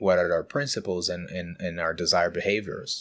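A man speaks at a moderate pace with a Brazilian accent. The recording is very clean, with a silent background. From Brazil, São Paulo state countryside. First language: Portuguese. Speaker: design leader. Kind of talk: interview.

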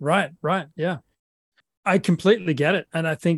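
Speaking at a moderate pace in an Australian accent, a man comes through with a dry, close sound with no echo. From South Australia, Adelaide. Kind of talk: interview. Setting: remote recording with good microphone. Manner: halting, frequent repetitions and fillers.

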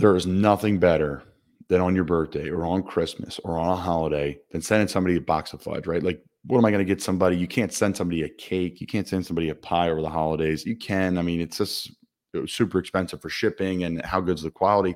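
A man talks at a very fast pace in a very deep, low voice. The recording is very clean, with a silent background. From Philadelphia. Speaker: football player and podcast host. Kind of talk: casual sports talk show. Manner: conversational, upbeat.

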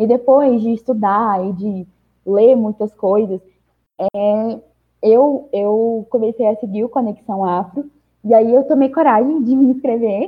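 At a fairly slow pace, a woman speaks in a normal speaking voice with a fairly high pitch and ordinary pitch variation. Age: young. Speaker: podcast panelist. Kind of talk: personal testimony.

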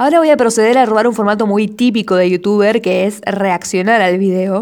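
With an ordinary speaking voice, a woman talks at a medium pitch and ordinary pitch variation. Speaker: amateur poet and podcaster. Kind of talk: casual monologue podcast.

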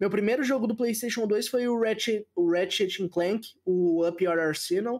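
A man's high-pitched voice, fairly slow and nearly pause-free, with ordinary pitch variation and very even loudness. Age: 20s. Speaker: Twitch streamer, game reviewer. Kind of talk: casual chat.

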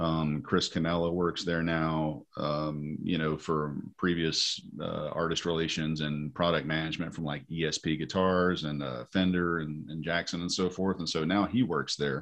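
A man with an Appalachian accent speaks in a very deep, low voice with fairly even intonation. He barely pauses, and the background is quiet. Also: moderate pace. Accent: Southern US (Appalachian). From US South, east Tennessee. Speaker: metal musician. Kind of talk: interview. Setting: video call.

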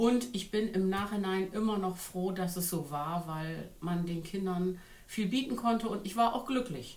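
Noticeable background noise and audible room echo surround this woman's voice. She speaks fairly slowly at a medium pitch with ordinary pitch variation. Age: 50s. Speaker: influencer. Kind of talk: casual chat.

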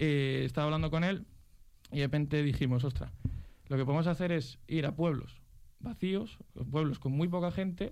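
A man speaks at a moderate pace with a fairly high pitch, a slightly mellow tone and fairly even intonation, with audible room echo around him.

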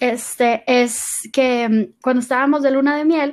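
A woman speaks at a high pitch and a fairly slow pace with ordinary pitch variation. The recording is very clean, with a silent background. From Mexico, Monterrey. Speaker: podcast guest. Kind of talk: casual chat.

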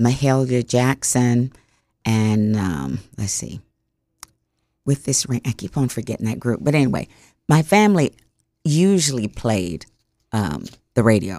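With an American accent and a dark, mellow tone, a woman speaks at a fairly slow pace, taking long, frequent pauses and making very wide pitch swings. The recording is very clean, with a silent background and a dry, close sound with no echo. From US South. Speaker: radio DJ. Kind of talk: interview conversation.

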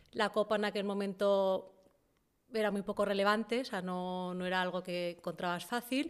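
With an unremarkable speaking voice, a woman talks at medium pitch and a moderate pace, her pitch varying in an ordinary way. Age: 30s. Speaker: entrepreneur. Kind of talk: casual interview. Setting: studio in a garage.

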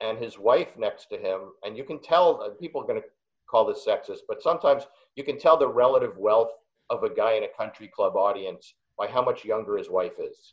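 Fairly quick male speech, its volume jumping up and down a lot. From New York (Queens). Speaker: comedian. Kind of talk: casual chat. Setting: video call.

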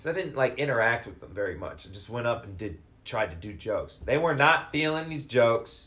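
A man speaks at a fairly quick pace in a bright, sharp tone, with very wide pitch swings and vocal fry. His loudness swings widely. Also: medium pitch for a man. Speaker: stand-up comedian. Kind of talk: casual interview chat.

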